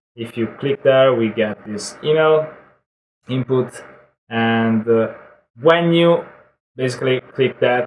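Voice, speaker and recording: A man with ordinary pitch variation. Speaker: online marketing tutorial creator. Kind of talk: screen-share software tutorial. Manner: casual, hesitant with fillers.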